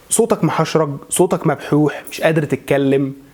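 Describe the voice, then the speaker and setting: The man's voice sits fairly high in pitch. He talks at a fairly slow pace. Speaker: voice and maqam coach; religious chanter. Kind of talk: instructional talk to camera.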